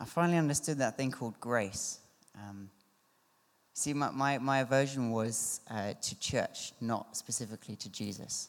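Against a silent background in a very clean recording, a man with a southern English accent talks at a medium pitch and a moderate pace. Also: ordinary pitch variation. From Surrey, southern England. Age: 20s. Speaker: churchgoer. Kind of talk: testimony. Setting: church. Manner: halting.

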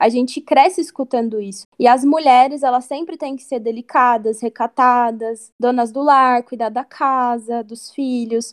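A woman with a high pitch talks at a fairly slow pace, her loudness swinging widely, in a dry, close sound with no echo. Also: fairly even intonation. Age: 20s. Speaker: journalism student. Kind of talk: casual chat.

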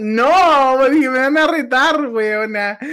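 A man is speaking. He talks with a Chilean accent. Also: very clean recording, silent background. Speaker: podcast co-host. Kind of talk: casual chat.

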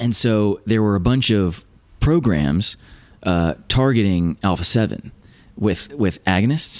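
This man has an ordinary speaking voice at a fairly low pitch. His intonation is lively. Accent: American. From Virginia, US. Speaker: neuroscientist and biotech stock analyst. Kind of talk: interview about science and investing.

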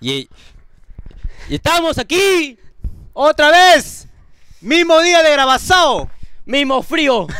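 A man speaks in a raised, projected voice at an extremely high pitch with a bright, sharp tone, ordinary pitch variation, and a very slow pace full of long, frequent pauses. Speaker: podcast host. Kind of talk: casual chat. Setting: studio. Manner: animated.

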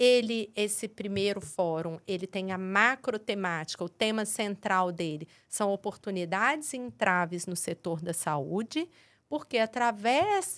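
A woman with a normal speaking voice and medium pitch talks at a fairly slow pace with lively intonation, in a very clean recording with a silent background. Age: 40s. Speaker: pediatric dentist and health TV presenter. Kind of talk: podcast interview.

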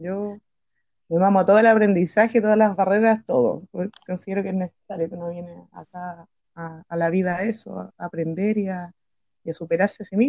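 In a dry, close recording with no echo, a woman speaks at a fairly quick pace in a medium pitch, her dark, mellow tone marked by fairly even intonation and big swings in loudness. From Chile, Patagonia. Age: 30s. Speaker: art teacher. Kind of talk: casual interview.

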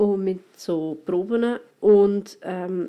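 This woman speaks at a medium pitch with a dark, mellow tone and ordinary pitch variation. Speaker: podcaster. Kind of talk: casual solo monologue. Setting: at home in quarantine.

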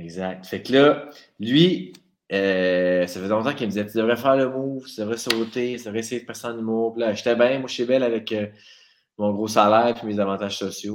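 A man with a plain, everyday voice speaks at a moderate pace. His medium pitch shows ordinary pitch variation. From Quebec, Abitibi. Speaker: radio comedy writer. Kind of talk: casual chat.

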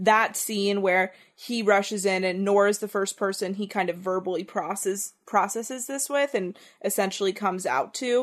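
A woman with an ordinary speaking voice, medium pitch, ordinary pitch variation, and a moderate pace, against a quiet background. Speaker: podcast host. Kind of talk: casual chat.

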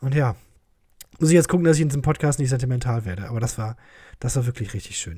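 On a very clean recording with a silent background, a somewhat breathy man with a dark, mellow tone and a medium pitch speaks with lively intonation. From Germany, Krefeld. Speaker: podcast host, comedian. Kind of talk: casual solo monologue, listener Q&A. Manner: joking, with frequent laughs.

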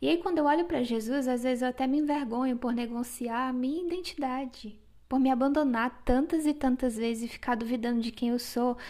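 A woman speaks at a fairly quick pace with hardly any pauses, her voice high-pitched with a dark, mellow tone. Her pitch moves in an ordinary way. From Brazil, Acre. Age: 20s. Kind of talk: casual devotional monologue.

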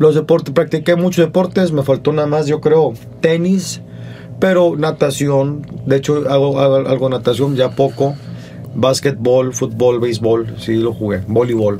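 Over music in the background, a man with a fairly high pitch speaks at a fairly slow pace with ordinary pitch variation. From Monterrey, northern Mexico. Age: 40s. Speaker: comedian. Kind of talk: casual chat.

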